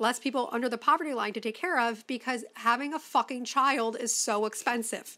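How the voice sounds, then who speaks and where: In an American accent, a woman with a high pitch and a bright, sharp, animated tone talks at a fairly quick pace with hardly any pauses and ordinary pitch variation, on a very clean recording with a silent background. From Chicago, US Midwest. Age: 20s. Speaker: podcast host. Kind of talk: casual chat.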